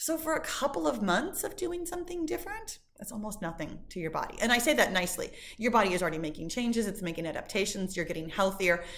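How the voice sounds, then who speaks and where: Very fast and with hardly any pauses, a woman speaks at a fairly high pitch in an animated tone, her pitch swinging very widely. Noticeable background noise and audible room echo fill the recording. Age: 50s. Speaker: fitness instructor. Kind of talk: live stream Q&A. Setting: live stream.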